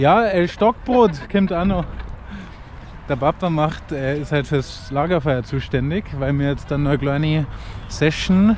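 A man talks at a fairly slow pace with a fairly high pitch. The sound is dry with no echo, and there is light background noise. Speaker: fashion label owner. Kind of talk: casual vlog talk to camera. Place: garden. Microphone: phone near.

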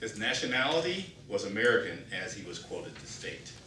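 Fairly slow speech from a man, light noise behind him and room echo audible. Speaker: speaker. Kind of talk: prepared speech. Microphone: camera far.

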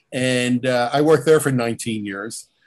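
This is a plain, everyday voice from a man with an American accent at medium pitch. He keeps a moderate pace against a quiet background. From New Jersey, Jersey Shore; New Jersey. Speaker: podcast guest. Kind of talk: casual interview. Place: home room. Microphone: video call.

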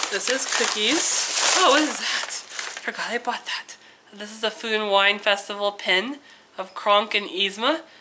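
A woman with a fairly high pitch talks at a fairly slow pace over noticeable background noise. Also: ordinary pitch variation. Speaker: vlogger. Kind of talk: casual vlog haul. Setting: home, sitting on the floor filming.

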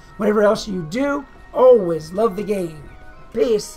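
A croaky, fairly high-pitched, put-on character voice goes at a fairly slow pace over music in the background.

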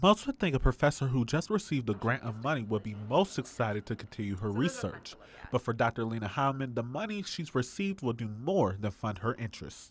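Talking at a fairly quick pace with hardly any pauses, a man uses a medium pitch, a somewhat breathy voice and lively intonation. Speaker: broadcast journalist. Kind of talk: TV news report.

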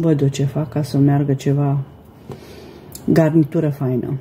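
Light background noise behind a woman talking at a moderate pace. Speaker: home cooking vlogger. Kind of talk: casual vlog chat. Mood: warm, friendly. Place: kitchen. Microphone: phone near.

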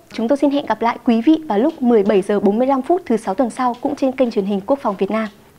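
Speaking at a fairly quick pace with hardly any pauses, a woman uses a high pitch and ordinary pitch variation. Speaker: TV health show host. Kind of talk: TV presenting; presenter closing remarks. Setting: studio. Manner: formal. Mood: calm, polite, formal. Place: studio. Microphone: lapel.

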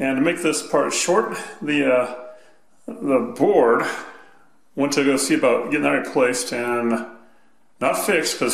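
A man is speaking. The room echo is audible. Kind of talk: tutorial. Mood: casual, mildly exasperated. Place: home room. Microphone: phone near.

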